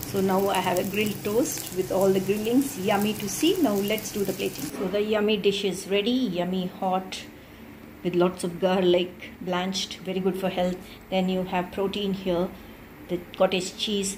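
With an Indian accent, a woman speaks at medium pitch and a moderate pace, her intonation fairly even, over noticeable background noise. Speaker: cooking video creator. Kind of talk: cooking tutorial. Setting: home kitchen.

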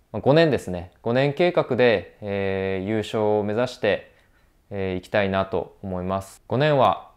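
The background is quiet. A man speaks in a fairly low pitch with ordinary pitch variation. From Hokkaido, Sapporo; Hokkaido, Japan. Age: 30s. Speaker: professional skier. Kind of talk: self-introduction to camera; personal statement to camera. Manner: hesitant with frequent fillers. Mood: earnest, determined. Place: home room. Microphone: lapel.

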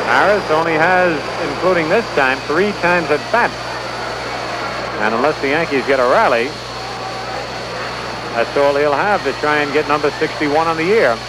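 A man talks at a moderate pace with long, frequent pauses, the sound dry with no echo and loud background noise behind him. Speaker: baseball radio broadcaster. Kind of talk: live radio sports play-by-play commentary. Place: stadium. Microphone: old recording.

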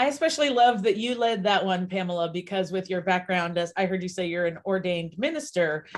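This woman talks at a fairly quick pace in an ordinary speaking voice, with hardly any pauses, medium pitch, and lively intonation. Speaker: grief coach. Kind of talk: live online panel discussion.

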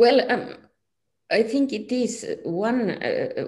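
A woman speaks against a quiet background. Her voice is dark, mellow and somewhat breathy. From Finland. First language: Finnish. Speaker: physics professor. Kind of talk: interview. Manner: halting. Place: home room. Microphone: video call.

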